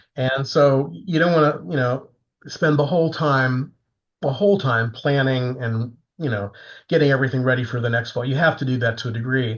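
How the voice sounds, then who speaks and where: Somewhat breathy, a man with an American accent talks at a fairly quick pace, his medium pitch showing ordinary variation. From Florida. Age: 70s. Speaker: composer. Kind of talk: interview.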